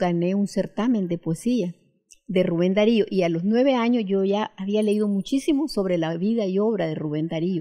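Against a quiet background, a woman talks at a moderate pace at medium pitch with ordinary pitch variation. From Nicaragua. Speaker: poet. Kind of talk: interview with poem reading. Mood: warm, cheerful, animated. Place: home room. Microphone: handheld.

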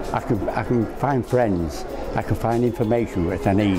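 A man talks at a moderate speed while clear music plays behind him. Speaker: award runner-up. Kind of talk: interview answer. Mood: warm, pleased, amazed. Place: hall.

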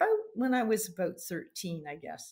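Against a quiet background, a woman speaks in a somewhat breathy voice. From Canada. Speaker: mounted games competitor and referee trainer. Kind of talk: interview. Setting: call. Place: home room.

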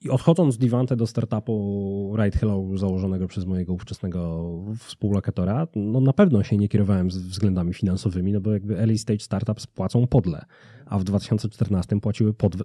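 With a dark, mellow tone, a man speaks at a moderate pace in a fairly low pitch with ordinary pitch variation, in a dry sound with no echo and a quiet background. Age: 30s. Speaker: business consultancy founder; podcast guest. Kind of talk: casual interview. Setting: studio. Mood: relaxed, smiling. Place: studio. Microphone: studio mic.

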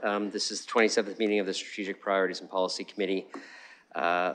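Over light background noise, a man talks at a very fast pace in a fairly low pitch with a monotone, flat intonation. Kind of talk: formal meeting chairing. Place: hall.

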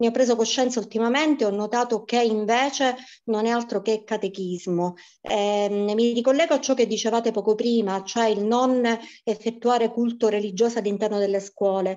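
Her pitch is fairly high, and her intonation fairly even. The woman keeps a moderate pace at very even loudness. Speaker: primary school teacher. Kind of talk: testimony.

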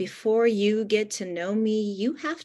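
A woman at a very slow pace over a quiet background. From Ukraine, emigrated to US as a child. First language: Russian. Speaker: poet and author; poet. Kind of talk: book launch hosting and poetry reading. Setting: video call. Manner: warm, effusive. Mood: expressive, measured delivery. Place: home room. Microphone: video call.

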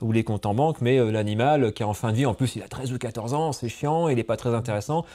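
Fairly quick in pace, a man speaks in a dark, mellow tone with ordinary pitch variation. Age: 40s. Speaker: dog trainer and podcast host. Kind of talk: podcast interview. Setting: association offices in a city. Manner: hesitant, many fillers.

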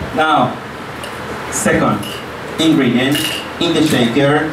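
Noticeable background noise and audible room echo surround a voice that moves at a very slow pace with fairly even intonation. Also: man. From Mexico. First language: Spanish. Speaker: cooking class instructor. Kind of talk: cooking class demonstration. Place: hall.

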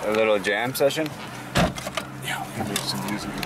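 A man speaks at a fairly quick pace with ordinary pitch variation. Loud background noise fills the recording, though the sound is dry with no echo. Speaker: vlogger. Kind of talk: casual vlog chat. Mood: joking, playful. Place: car.

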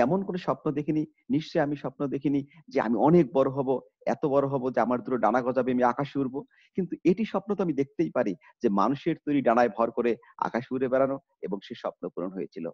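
Lively intonation marks a man's fairly high voice. The background is quiet. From northern Bangladesh, Kurigram; northern Bangladesh. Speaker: college teacher. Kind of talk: online lecture. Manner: formal. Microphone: webcam.

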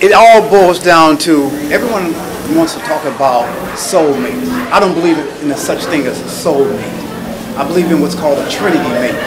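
Noticeable background noise sits under the recording. A man speaks at a moderate pace. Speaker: audience member. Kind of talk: audience comment. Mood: earnest, persuasive. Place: hall. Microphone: handheld.

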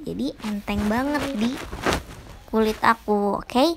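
A woman with an unremarkable speaking voice talks at a moderate pace with ordinary pitch variation. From Indonesia. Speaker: beauty vlogger. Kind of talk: tutorial. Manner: casual, chatty. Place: home room. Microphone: phone near.

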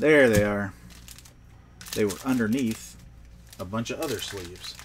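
Over noticeable background noise and audible room echo, a man with an American accent speaks at a moderate pace and medium pitch, with ordinary pitch variation. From Pennsylvania roots, grew up elsewhere in US. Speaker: trading card seller and pack opener. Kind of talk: livestream pack opening. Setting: home card room livestream. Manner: casual, upbeat.

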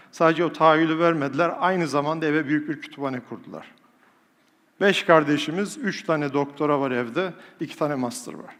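A man speaks at a fairly quick pace in an animated tone, his pitch fairly high with ordinary variation. His loudness swings widely. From Turkey, rural village. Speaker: professor and public speaker. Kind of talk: motivational talk to a live audience. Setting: stage with audience. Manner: animated, rhetorical.

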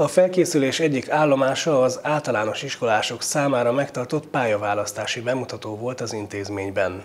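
This man's delivery moves at a moderate pace. The rise and fall of his pitch is ordinary. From Hungary. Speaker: TV news presenter. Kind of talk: news reading. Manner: formal. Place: studio. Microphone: lapel.

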